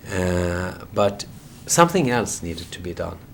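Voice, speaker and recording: Against noticeable background noise, a man speaks very slowly at a fairly low pitch. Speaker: journalist and documentary filmmaker. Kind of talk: interview. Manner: halting, many repetitions and fillers.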